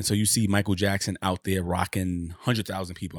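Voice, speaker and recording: This man's pitch sits fairly low. He speaks at a very fast pace. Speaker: podcast co-host. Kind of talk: casual chat. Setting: video call.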